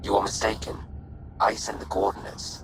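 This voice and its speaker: Someone does a put-on character voice at a fairly quick pace over clear background noise. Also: man. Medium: video game. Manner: flat, literal.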